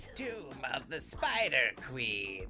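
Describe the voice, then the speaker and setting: A put-on character voice is heard while clear music plays behind it. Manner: spidery, theatrical.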